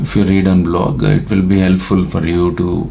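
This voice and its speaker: Amid noticeable background noise and audible room echo, a man with a very deep, low voice speaks at a moderate pace with fairly even intonation. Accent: Telugu. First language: Telugu. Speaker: YouTuber. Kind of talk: casual monologue. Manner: halting, many fillers.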